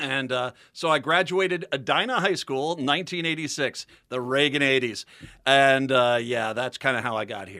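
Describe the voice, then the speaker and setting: With an American accent, a man uses a normal speaking voice at a medium pitch, with ordinary pitch variation and a fairly slow pace. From Minnesota and Rhode Island. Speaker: radio host. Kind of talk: casual chat.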